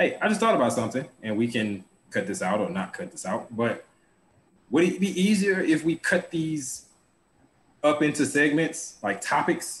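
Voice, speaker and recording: A man with a fairly high pitch speaks at a moderate pace. His voice shows vocal fry and very wide pitch swings. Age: 30s. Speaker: podcast co-host. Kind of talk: casual chat.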